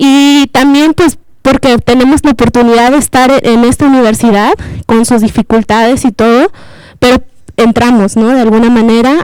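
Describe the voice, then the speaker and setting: At a moderate pace, a woman speaks in a high pitch with very even loudness. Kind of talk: panel discussion.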